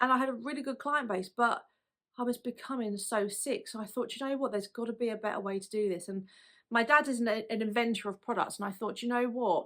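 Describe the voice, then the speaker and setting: A woman talks at a very fast pace in a fairly high pitch, keeping her intonation fairly even. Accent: British. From UK. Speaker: lash artist and product business owner. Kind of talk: personal story to camera. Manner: casual, conversational.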